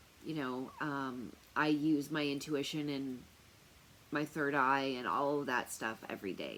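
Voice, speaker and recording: A woman with a very deep, low pitch talks at a moderate pace, her pitch varying in an ordinary way. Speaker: tarot reader and remote viewer. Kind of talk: casual talk to camera. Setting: wearing noise-canceling earphones. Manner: loud; hesitant, many fillers.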